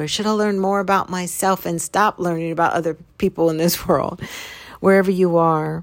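A woman with a calm tone and fairly low pitch speaks at a moderate pace with fairly even intonation. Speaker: podcast host and author. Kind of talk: reflective motivational monologue.

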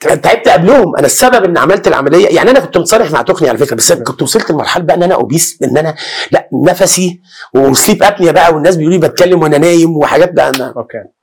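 The delivery is very fast with hardly any pauses. Intonation stays lively throughout. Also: man, high pitch for a man. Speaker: screenwriter. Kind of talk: casual interview.

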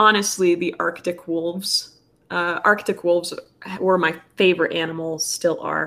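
With a Plains American accent, a woman speaks in a monotone, flat way at a moderate pace, her pitch fairly low. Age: 20s. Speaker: guest. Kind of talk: casual chat.

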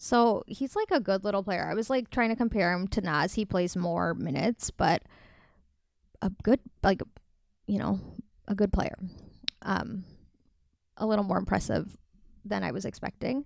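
A woman with an American accent, medium pitch and vocal fry, at a moderate pace with long, frequent pauses and ordinary pitch variation, on a very clean, dry, close recording with no echo and a silent background. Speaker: podcast co-host. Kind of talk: casual chat.

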